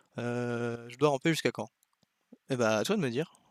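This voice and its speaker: On a dry, close recording with no echo, a man speaks at a medium pitch with ordinary pitch variation. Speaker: go teacher commenting a student's game. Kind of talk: game review commentary. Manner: fast; hesitant, many fillers.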